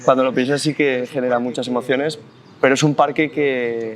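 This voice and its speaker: Noticeable background noise sits behind a man speaking in a monotone at medium pitch and a moderate pace. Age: 20s. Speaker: special education teacher. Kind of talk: interview. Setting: outdoors in a park.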